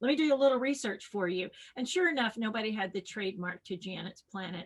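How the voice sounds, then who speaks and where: A woman talks at a very fast pace with lively intonation. Her fairly high voice is somewhat breathy. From US South, rural West Tennessee. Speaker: children's science educator and entertainer. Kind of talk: podcast interview, personal storytelling. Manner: animated.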